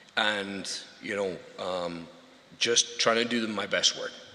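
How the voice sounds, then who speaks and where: There is audible room echo around this voice. A man with a Scottish accent speaks at a fairly slow pace. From Scotland, rural farming background. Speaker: award winner, installation business owner. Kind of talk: acceptance speech. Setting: awards show stage with audience. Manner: halting, many filler words.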